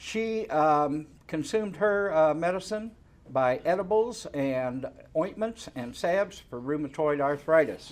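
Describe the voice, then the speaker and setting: A man with an American accent and an ordinary speaking voice, fairly high in pitch, with lively intonation at a fairly slow pace. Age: 60s. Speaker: reverend and cannabis advocacy director. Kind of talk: public hearing testimony. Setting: public hearing.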